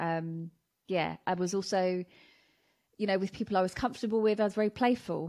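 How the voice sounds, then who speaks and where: Against a quiet background, a woman with a southern English accent speaks at a moderate pace, her dark, mellow tone showing ordinary pitch variation. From southern England, Watford, Hertfordshire; southern England. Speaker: anti-racism educator and speaker; anti-racism educator, speaker. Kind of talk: interview conversation; interview answer. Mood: reflective, warm. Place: home room. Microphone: studio mic.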